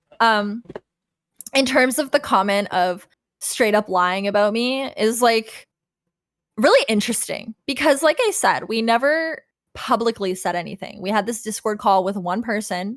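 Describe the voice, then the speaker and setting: This is an ordinary speaking voice from a woman, fairly high in pitch. She talks at a moderate pace with ordinary pitch variation. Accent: Canadian. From Canada. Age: 30s. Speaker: former vtuber. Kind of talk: casual chat. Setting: livestream.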